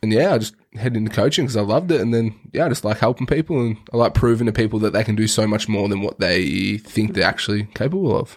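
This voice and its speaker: An Australian-accented man talks at a very fast pace with hardly any pauses. His pitch sits in the medium range, with ordinary variation. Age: 20s. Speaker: fitness coach. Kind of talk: casual chat. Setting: studio.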